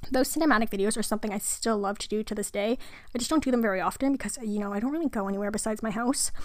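A woman with a fairly high pitch talks very fast, with ordinary pitch variation. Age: 20s. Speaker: youtuber and video editor. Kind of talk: casual solo podcast monologue. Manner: chatty, casual.

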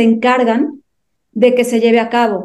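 A woman speaks at a fairly slow pace in a fairly high pitch. Her tone is dark and mellow, with monotone, flat intonation. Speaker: podcast co-host. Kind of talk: podcast interview.

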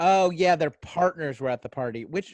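A high-pitched man at a moderate pace, in a dry, close sound with no echo. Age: 30s. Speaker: podcast co-host and stand-up comedian. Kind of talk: casual chat.

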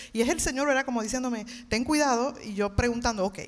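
At a fairly quick pace, a normal speaking voice talks with ordinary pitch variation. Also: woman. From Puerto Rico, Levittown. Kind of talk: testimony. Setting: church stage with audience.

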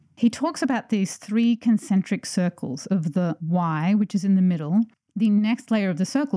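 Lively intonation colors a dark, mellow tone at a moderate pace. The recording is very clean, with a silent background and a dry, close sound free of echo. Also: woman. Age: 40s. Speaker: podcast host, environmental engineer and author. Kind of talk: solo podcast monologue. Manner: animated.

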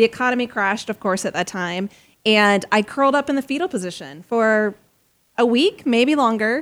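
A plain, everyday voice from a woman, fairly high-pitched with lively intonation at a moderate pace, on a very clean recording with a silent background. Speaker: nonprofit consultant. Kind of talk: interview.

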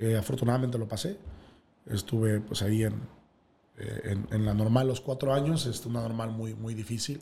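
A somewhat breathy man's voice at a medium pitch, dark and mellow in tone. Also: fairly even intonation, moderate pace. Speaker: sports broadcaster and teacher. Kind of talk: casual interview.

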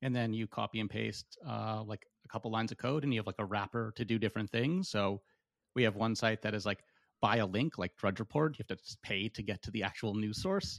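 Against a quiet background with a dry, close sound and no echo, a man with a Canadian accent and an ordinary speaking voice talks at a fairly quick pace, his pitch fairly low with ordinary pitch variation. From Canada. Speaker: tech startup founder. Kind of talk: casual chat.

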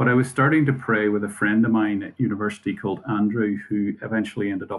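Speaking at a fairly quick pace, a man with a Northern Irish accent uses a fairly low pitch and fairly even intonation. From Northern Ireland. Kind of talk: casual interview. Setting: video call.

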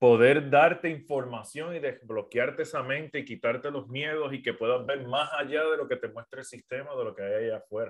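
A man with a Puerto Rican accent at a moderate pace, on a very clean recording with a silent background. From Puerto Rico. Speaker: business mentor and podcaster. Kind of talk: livestream talk. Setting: social media live stream.

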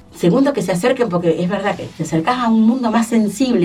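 Very fast speech from a woman, with noticeable background noise. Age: 60s. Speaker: arts education director. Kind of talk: radio interview.

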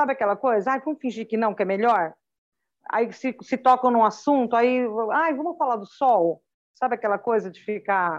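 In a plain, everyday voice, a woman talks at a moderate pace with ordinary pitch variation against a quiet background. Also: fairly high pitch for a woman. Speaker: pastor and mother. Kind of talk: interview testimony.

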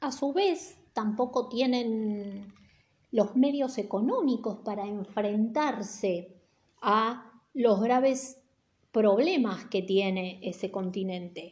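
Somewhat breathy and fairly high-pitched, a woman speaks at a very slow pace with ordinary pitch variation. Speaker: teacher. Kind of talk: lecture. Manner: casual, hesitant with fillers.

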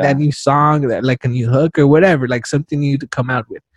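This man speaks at a very fast pace in a somewhat breathy, fairly high voice, recorded with a dry, close sound with no echo against a quiet background. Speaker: podcast host and stand-up comedian. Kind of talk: casual interview chat. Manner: fast talker.

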